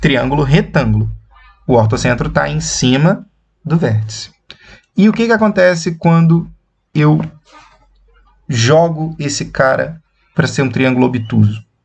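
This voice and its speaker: Long, frequent pauses break up a man's speech. His pace is fairly slow. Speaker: math teacher. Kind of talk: lecture. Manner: slow, deliberate.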